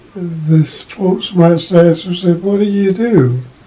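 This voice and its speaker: Over noticeable background noise, a man talks at a very slow pace in a high pitch. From Kentucky. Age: 90s. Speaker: retired postal worker. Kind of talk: interview answer.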